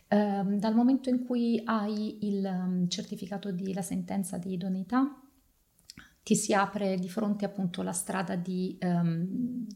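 A woman's somewhat breathy, dark and mellow voice at medium pitch, with fairly even intonation. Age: 40s. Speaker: photography curator and adoptive mother. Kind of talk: podcast interview. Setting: studio, on video.

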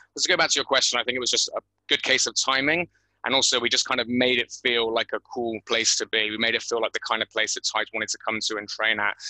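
Very fast and with fairly even intonation, a man with a West Country accent speaks in a bright, sharp tone, the sound dry and close with no echo. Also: medium pitch for a man. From England, Bristol. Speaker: gym owner and podcast host. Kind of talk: interview.

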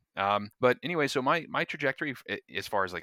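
A man with a normal speaking voice at a fairly quick pace and lively intonation, in a very clean recording with a silent background. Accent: American. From North Florida, US. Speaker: neuroscience PhD graduate. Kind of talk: casual interview chat.

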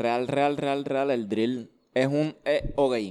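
Medium in pitch, this man has an unremarkable speaking voice. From Puerto Rico, Levittown (Toa Baja). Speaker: urban music artist. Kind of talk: casual interview.

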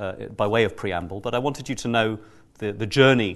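A plain, everyday voice from a man, fairly low in pitch, at a moderate pace with ordinary pitch variation and a quiet background. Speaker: neuroscientist and event moderator. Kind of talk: moderating a panel event. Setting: live event with audience.

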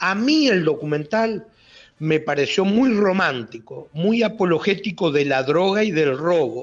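High-pitched and lively in intonation, a man talks at a fairly slow pace. His loudness stays very even. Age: 60s. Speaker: former bank robber. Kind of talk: radio interview. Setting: phone call.

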